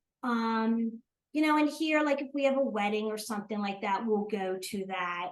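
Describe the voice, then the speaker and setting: Her pitch high, a woman talks in an American accent. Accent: New Jersey accent, noticed by Southerners. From South Jersey, US. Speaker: retired teacher and accountant, grandmother. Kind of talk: casual interview chat.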